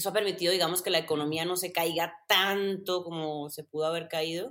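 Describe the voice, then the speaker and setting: This woman speaks with a strong Mexican accent. Her pitch sits in the medium range. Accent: strong Mexican accent picked up. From Colombia, Medellín. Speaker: content creator and former racing driver. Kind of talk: casual interview.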